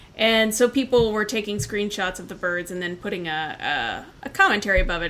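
A woman talks at a fairly quick pace with an American accent. Background noise is noticeable. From Indiana. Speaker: birding podcast host, park ranger. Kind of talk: casual chat.

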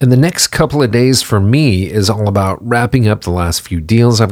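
In a very clean recording with a silent background, a man with a plain, everyday voice speaks at a moderate pace with a fairly low pitch and ordinary pitch variation. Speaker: podcast host. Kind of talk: casual interview chat.

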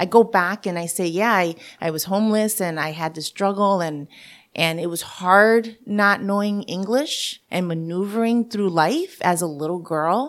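A woman with a New York accent speaks at a moderate pace and medium pitch, her pitch varying in an ordinary way, on a very clean recording with a silent background. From Puerto Rico, raised in New York. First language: Spanish. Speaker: chamber of commerce director and radio host. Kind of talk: interview.

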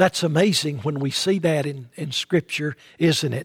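An East Tennessee accent comes through as a man speaks on a very clean recording with a silent background and a dry, close sound with no echo. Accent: Southern US (East Tennessee). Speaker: pastor. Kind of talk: sermon.

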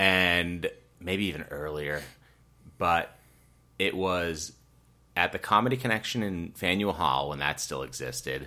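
In a very clean recording with a silent background, a man with an American accent speaks at a very deep, low pitch and a fairly slow pace, with a bright, sharp tone, ordinary pitch variation, and long, frequent pauses. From Massachusetts (Rockland, near Boston). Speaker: stand-up comedian and comedy producer. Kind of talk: casual interview chat. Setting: living room recording.

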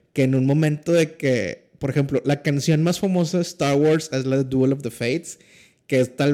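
A man talks at a fairly slow pace with a fairly high pitch. His tone is dark and mellow, with fairly even intonation. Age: 30s. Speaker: podcast guest. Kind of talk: casual chat.

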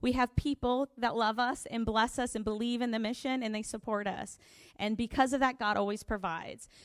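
A woman with an American accent talks at a fairly quick pace, her pitch fairly high and her intonation fairly even. It is a plain, everyday voice on a very clean recording with a silent background. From US, Florida. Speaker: missionary. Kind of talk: testimony.

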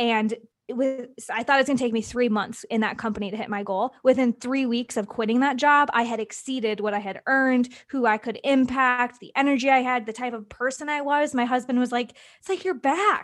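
A woman with an American accent speaks at a fairly quick pace and a high pitch, with ordinary pitch variation. The recording is very clean, with a silent background. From US Midwest, small-town Wisconsin. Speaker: entrepreneur and podcast guest. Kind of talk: casual interview chat.

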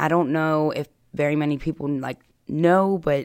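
A woman with a very deep, low pitch is heard on a very clean recording against a silent background. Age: 30s. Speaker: person in addiction recovery. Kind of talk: personal testimony interview.

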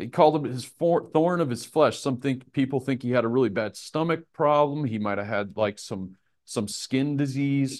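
A man with an American accent speaks slowly-ish, at a fairly slow pace, in a fairly high pitch with ordinary pitch variation. He has a normal speaking voice, and the background is quiet. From Nebraska, US Midwest. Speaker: Bible teacher. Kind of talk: Bible study lesson with prayer. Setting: live in a room with a group. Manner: casual, informal teaching.

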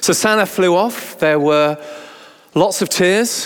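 Slow and high-pitched, a man speaks in a clear, smooth tone with ordinary pitch variation.

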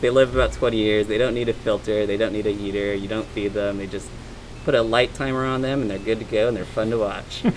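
Amid noticeable background noise, a man speaks at a fairly quick pace with fairly even intonation. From Hawaii. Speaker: interviewee, friend. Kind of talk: casual chat. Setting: outdoors, backyard.

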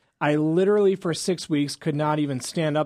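A very clean recording with a silent background, spoken at a moderate pace. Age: 30s. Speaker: chiropractor and radio health show host. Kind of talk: radio talk show.

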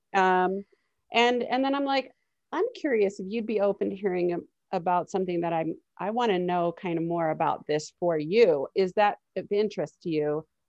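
Recorded dry and close with no echo over a quiet background, a woman speaks in a plain, everyday voice at a medium pitch with ordinary pitch variation. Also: moderate pace. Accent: American. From Miami, Florida. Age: 30s. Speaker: psychotherapist. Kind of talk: casual chat.

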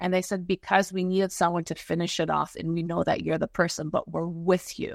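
In an unremarkable speaking voice, a woman talks at a medium pitch, the sound dry and close with no echo and a quiet background. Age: 50s. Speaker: spiritual energy healer. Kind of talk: interview.

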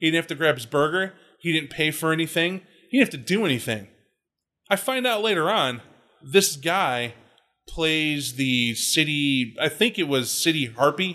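A man's fairly high, bright, sharp voice with an American accent, lively intonation and a moderate pace, over a quiet background. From US South. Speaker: podcast co-host. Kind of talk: casual chat.

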